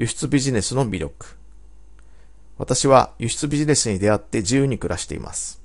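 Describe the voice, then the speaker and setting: A man at medium pitch with vocal fry, a fairly quick pace and ordinary pitch variation. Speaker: business coach. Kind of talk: scripted narration.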